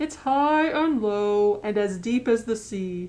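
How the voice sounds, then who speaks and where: A woman uses a put-on character voice pitched fairly high. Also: fairly slow pace. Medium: read story. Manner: mysterious, riddling.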